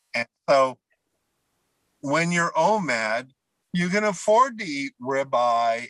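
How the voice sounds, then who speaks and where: In a dry, close sound with no echo, a man speaks very slowly with a bright, sharp tone and lively intonation. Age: 60s. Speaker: keto dieter sharing weight loss story. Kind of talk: casual interview.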